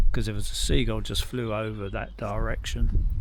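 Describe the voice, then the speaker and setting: Moderately paced speech from a man, with noticeable background noise and audible room echo. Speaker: bushcraft hobbyist vlogger. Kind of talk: casual monologue to camera. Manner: rambling, hesitant.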